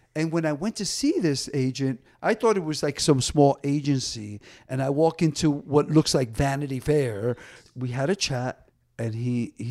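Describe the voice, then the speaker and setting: In a plain, everyday voice, a man with an American accent talks at a fairly high pitch, a moderate pace and lively intonation. The recording is very clean with a silent background, and the sound is dry and close with no echo. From New Jersey (Paterson). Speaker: DJ and dancer. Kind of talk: casual interview chat.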